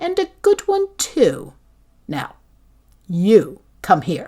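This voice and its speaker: A woman speaks very slowly in a put-on character voice, pitched high, with very wide swings in pitch. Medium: read story. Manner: commanding, imperious.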